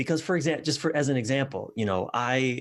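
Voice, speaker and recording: Lively intonation marks a man talking with an American accent. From US East Coast. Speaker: relationship coach. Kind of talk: podcast interview.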